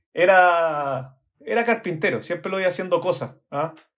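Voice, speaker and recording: Moderate-paced speech from a man with a Chilean accent and a high pitch, over a quiet background. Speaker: architect. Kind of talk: interview. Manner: hesitant, many fillers.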